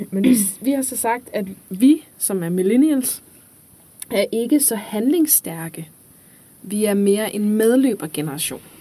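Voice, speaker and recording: A woman's fairly high, somewhat breathy voice, dark and mellow in tone, with lively intonation, a very slow pace and long, frequent pauses. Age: 20s. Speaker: student teacher. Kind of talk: casual chat.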